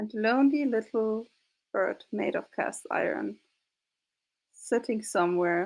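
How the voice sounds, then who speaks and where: A woman speaks at a fairly high pitch with very wide pitch swings. Her pace is fairly slow. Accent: non-native. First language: not English. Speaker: game master of tabletop roleplay actual play. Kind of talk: casual chat; closing narration of roleplay game.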